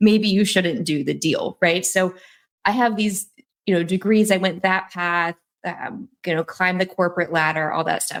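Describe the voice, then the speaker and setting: Her pitch medium, a woman speaks with fairly even intonation and a slight Southern US accent. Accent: little Southern twang. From North Carolina, Raleigh area. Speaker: real estate investor. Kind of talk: casual interview chat.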